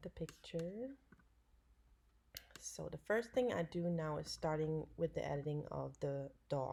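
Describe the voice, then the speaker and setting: A woman talks with a German accent. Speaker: dog photographer. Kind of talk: tutorial. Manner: halting.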